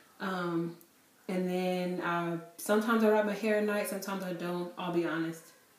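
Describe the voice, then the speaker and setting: A woman's monotone, flat delivery at a moderate pace, with audible room echo. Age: 20s. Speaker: beauty vlogger. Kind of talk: product review. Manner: casual, filler-heavy. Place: home room. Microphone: camera far.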